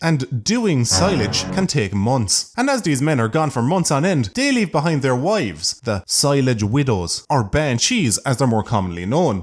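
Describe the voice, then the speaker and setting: With an Irish accent, a man speaks at medium pitch and a moderate pace, his pitch swinging very widely while his loudness stays very even. He hardly pauses, and music plays in the background. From Ireland. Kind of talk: comedic narration.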